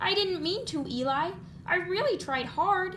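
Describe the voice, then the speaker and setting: Over clear background noise, a woman uses a put-on character voice at a moderate pace. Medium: read story. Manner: timid, unsure.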